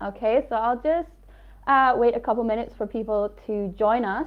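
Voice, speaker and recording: With an Aberdeen accent, a woman speaks at a fairly high pitch with ordinary pitch variation. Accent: Scottish (Aberdeen). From northeast Scotland, Aberdeen area. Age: 20s. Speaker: English teacher sharing experiences. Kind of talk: live webinar talk. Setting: livestream.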